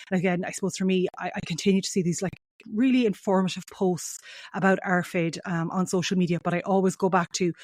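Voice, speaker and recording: In a strong western Irish accent, a woman speaks at a very fast pace with fairly even intonation and a medium pitch. The sound is dry and close, with no echo. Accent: heavy Mayo Irish. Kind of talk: podcast interview intro. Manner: rambling, uses fillers often.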